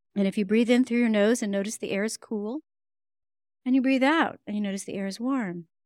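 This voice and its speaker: A woman with a plain, everyday voice talks at a fairly quick pace with a fairly high pitch and ordinary pitch variation, in a very clean recording with a silent background and a dry, close sound with no echo. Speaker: breath work and meditation teacher. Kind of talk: guided meditation, calm instructional breathing cues.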